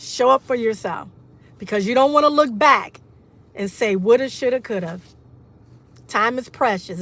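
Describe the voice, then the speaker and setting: Long, frequent pauses from a woman at a moderate pace with ordinary pitch variation. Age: 60s. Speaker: motivational livestreamer. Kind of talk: casual livestream talk. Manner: animated.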